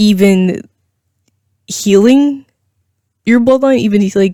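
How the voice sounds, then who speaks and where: Dark, mellow tone with ordinary pitch variation at a fairly slow pace. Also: woman. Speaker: tarot reader. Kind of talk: pick-a-card tarot reading to camera. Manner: stuttering.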